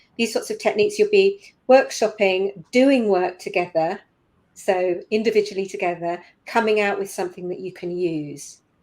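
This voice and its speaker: This woman has an unremarkable speaking voice at medium pitch, with ordinary pitch variation and a moderate pace, on a very clean recording with a silent background. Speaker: product management trainer. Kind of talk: interview. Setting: live stream.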